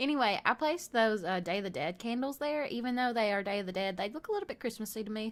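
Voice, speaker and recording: In a very clean recording with a silent background, a woman speaks with lively intonation in a Southern US accent. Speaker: gaming youtuber. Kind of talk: casual chat over gameplay. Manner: rambling, halting with fillers.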